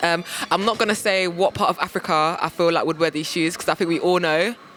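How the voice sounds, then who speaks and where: Against noticeable background noise, a woman with a South London accent speaks in an animated tone at a moderate pace and medium pitch. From London, Peckham. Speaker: TV presenter. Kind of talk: presenting and street interviews.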